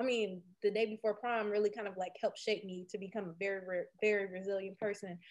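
A woman with an American accent and an unremarkable speaking voice talks at a fairly quick pace and medium pitch. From Detroit, east side. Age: 30s. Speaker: tech startup founder. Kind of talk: interview.

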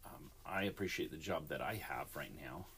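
This is a man speaking. He keeps a moderate pace. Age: 50s. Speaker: alarm company worker and podcaster, former security guard. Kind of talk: personal monologue podcast. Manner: casual, meandering.

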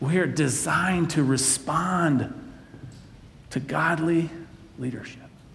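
A man with a fairly high pitch and ordinary pitch variation speaks at a very slow pace with long, frequent pauses, amid noticeable background noise and audible room echo. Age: 40s. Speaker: pastor. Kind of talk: sermon.

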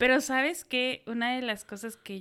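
In a central Mexican accent, a woman speaks at a very slow pace and a fairly high pitch, on a very clean recording with a silent background. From Mexico, Hidalgo (Tulancingo). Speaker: entrepreneur. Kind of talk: interview.

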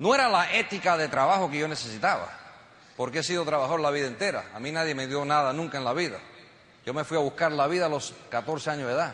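A man speaks very fast in an animated tone, with a fairly high pitch and ordinary pitch variation. Audible room echo and noticeable background noise fill the recording. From United States, Cuban family. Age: 50s. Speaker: network marketing entrepreneur, motivational speaker. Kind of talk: motivational speech. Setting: stage with audience.

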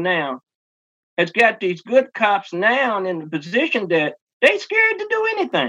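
A man with a Kentucky accent, lively intonation and a moderate pace. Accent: Kentucky Southern US. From rural Kentucky, Henry County. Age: 60s. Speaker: singer and stage performer. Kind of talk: interview.

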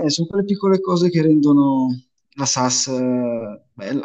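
Fairly high in pitch, a man's voice holds a fairly even intonation. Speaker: fantasy football league player. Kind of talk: casual chat.

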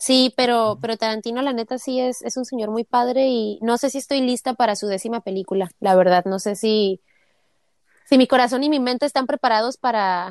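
A woman with a Mexican accent, fairly high-pitched, fairly quick, ordinary pitch variation, quiet background. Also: dry, close sound with no echo. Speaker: podcast co-host. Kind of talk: casual chat.

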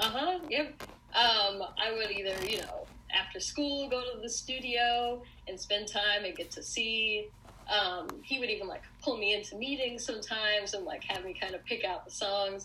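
Noticeable background noise and audible room echo accompany a woman's fairly high voice. She talks at a moderate pace with ordinary pitch variation. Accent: American. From US Northeast, Long Island, New York. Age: 20s. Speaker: pop culture blogger. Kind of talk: casual chat.

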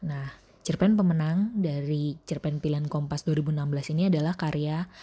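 A dark, mellow, somewhat breathy tone at a moderate pace, fairly even intonation, and a very clean recording with a silent background. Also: woman. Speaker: podcast host and reader; school teacher. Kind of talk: literary audiobook reading of a short story.

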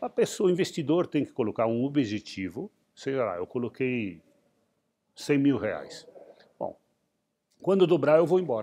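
A man's fairly high, dark and mellow voice at a moderate pace, with very wide pitch swings and long, frequent pauses. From Rio Grande do Sul, Brazil. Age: 60s. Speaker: entrepreneur and investor. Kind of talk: interview. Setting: museum.

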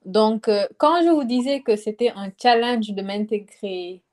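The woman's voice sits fairly high and shows ordinary pitch variation. The recording is very clean with a silent background, and the sound is dry and close with no echo. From Senegal. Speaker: student. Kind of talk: casual chat.

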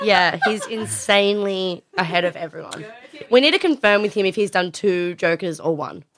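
This woman speaks with an Australian accent. Her pitch is medium. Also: ordinary pitch variation, moderate pace. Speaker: podcast co-host. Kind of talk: casual banter.

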